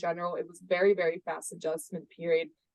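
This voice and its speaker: Speaking with a Spanish accent, a woman moves at a fairly quick pace with ordinary pitch variation in a dry, close sound with no echo. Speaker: sales and operations at a startup. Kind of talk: podcast interview. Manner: conversational with frequent fillers.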